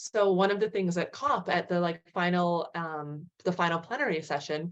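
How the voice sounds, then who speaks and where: An ordinary speaking voice from a woman with an American accent, fairly low in pitch, with ordinary pitch variation and a moderate pace. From US, California. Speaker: physician. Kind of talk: panel Q&A answer. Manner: casual, with fillers.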